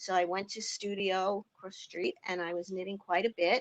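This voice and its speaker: In a Long Island accent, a woman speaks at a moderate pace and a medium pitch. The sound is dry and close, with no echo. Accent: Long Island New York. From New York, Long Island. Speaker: knitting tool inventor and business owner. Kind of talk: interview.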